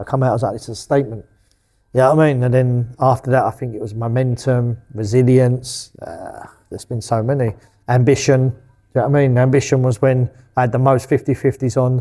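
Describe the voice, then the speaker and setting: A man mumbles at a fairly quick pace in a monotone, flat intonation. His tone is dark and mellow, his pitch medium. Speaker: boxing promoter. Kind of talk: interview. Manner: mumbling; casual, expletive-heavy.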